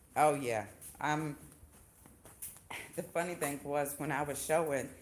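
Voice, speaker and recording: A woman with a Southern US accent speaks at a fairly slow pace and a very deep, low pitch, her intonation fairly even, with audible room echo. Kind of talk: casual chat.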